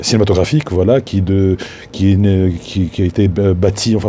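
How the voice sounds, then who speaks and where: Against noticeable background noise, a man speaks in a fairly low pitch with fairly even intonation. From Tunisia. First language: Tunisian Arabic (speaking French). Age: 50s. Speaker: filmmaker. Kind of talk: spoken tribute. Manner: halting.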